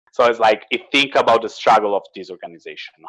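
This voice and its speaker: A man with an Italian accent, recorded dry and close with no echo. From Italy. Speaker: salesperson. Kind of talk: interview. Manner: halting.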